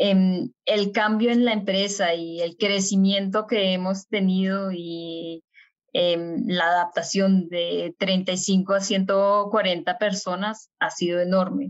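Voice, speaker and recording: At a very slow pace, a woman speaks in a monotone, flat way at a medium pitch. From Colombia, Bogotá. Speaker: aerospace engineer. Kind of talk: interview.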